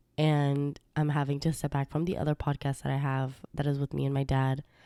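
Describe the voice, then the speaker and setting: In a very clean recording with a silent background and a dry, close sound with no echo, a woman speaks at a very deep, low pitch in a dark, mellow tone. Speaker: podcast host. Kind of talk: casual monologue podcast.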